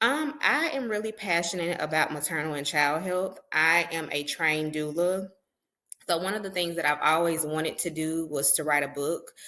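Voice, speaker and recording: With a Southern US accent, a woman of fairly low pitch speaks at a moderate pace in a bright, sharp tone with ordinary pitch variation. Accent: Southern country. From US South, Mississippi. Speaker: public health professional and author. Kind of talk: podcast interview.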